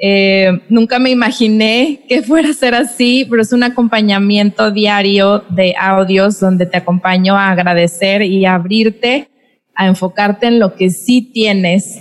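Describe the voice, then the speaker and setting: In a normal speaking voice, a woman at medium pitch talks fairly slowly with fairly even intonation. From Mexico, Monterrey, Nuevo León. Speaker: podcast host and dance teacher. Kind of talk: casual interview conversation. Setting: video call.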